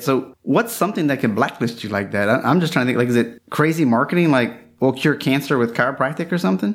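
A man speaks with a Louisiana accent at a very fast pace. The recording is very clean, with a silent background. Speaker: podcast host, chiropractor. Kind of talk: interview conversation.

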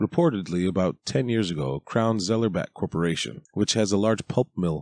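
Over a quiet background, a man with a very deep, low pitch speaks at a moderate pace with ordinary pitch variation. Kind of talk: audiobook narration. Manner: even, measured, steady reading pace.

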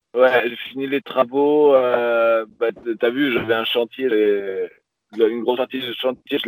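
A man's voice at a very slow pace, with fairly even intonation. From southern France, Pyrenees. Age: 20s. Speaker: sailor, YouTuber. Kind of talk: interview.

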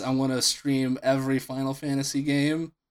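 A plain, everyday voice at a moderate pace, with fairly even intonation, on a very clean recording with a silent background. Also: man. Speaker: podcast co-host. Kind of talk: casual chat.

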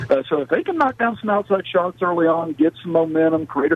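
The speaker goes at a very fast pace with ordinary pitch variation, against noticeable background noise. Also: man. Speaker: radio reporter calling in. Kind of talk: phone call game recap, casual. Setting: phone call.

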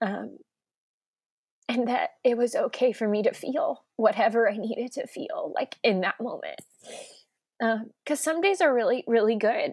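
With an American accent, a woman speaks in a high pitch at a moderate pace, her lively intonation broken by long, frequent pauses, in a dry, close sound with no echo. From Oklahoma, Edmond. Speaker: interior designer and pastor's wife. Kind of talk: casual interview, personal testimony.

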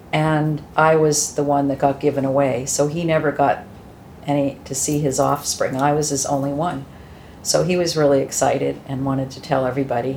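The speech comes at a moderate pace in a monotone, flat intonation, with noticeable background noise. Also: woman, very deep, low pitch for a woman. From Massachusetts, US. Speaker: adoptee sharing her story. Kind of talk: interview testimony.

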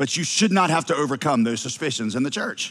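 This man has a slight Southern US accent. He speaks at a moderate pace. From US South. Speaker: pastor. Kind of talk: sermon.

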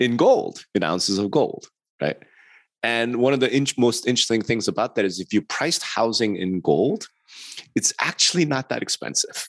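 An ordinary speaking voice with lively intonation moves at a moderate pace, the sound dry and close with no echo and the background quiet. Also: man. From New York. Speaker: real estate industry consultant and podcast co-host. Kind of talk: podcast interview.

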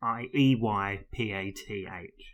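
A man talks with a British accent. His tone is bright and sharp. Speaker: podcast co-host. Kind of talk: casual chat.

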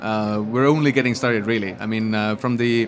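A man with an Estonian accent at a fairly quick pace, over noticeable background noise. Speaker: software company founder. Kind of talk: interview. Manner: hesitant with many fillers.

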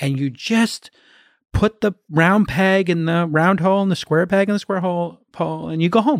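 In an American accent, a man speaks at a high pitch, the sound dry and close with no echo on a very clean recording with a silent background. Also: ordinary pitch variation. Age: 50s. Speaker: entrepreneur and investor. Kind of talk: casual chat. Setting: in person. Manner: fast.

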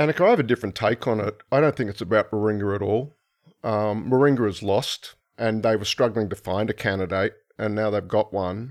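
A man with an Australian accent talks at a fairly quick pace in a fairly low voice with ordinary pitch variation. The sound is dry and close with no echo, and the background is quiet. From Brisbane, Australia. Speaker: political scientist. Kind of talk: panel discussion.

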